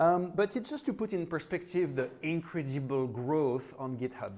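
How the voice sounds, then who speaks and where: A man with a French accent. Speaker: conference speaker. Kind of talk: tech talk. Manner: casual, hesitant with fillers.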